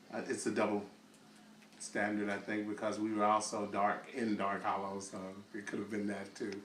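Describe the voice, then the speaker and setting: Noticeable background noise and audible room echo surround moderately paced speech with monotone, flat intonation. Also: man, fairly low pitch for a man. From US South, Little Rock, Arkansas. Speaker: interviewee telling life story. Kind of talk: oral history testimony. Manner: halting, many fillers.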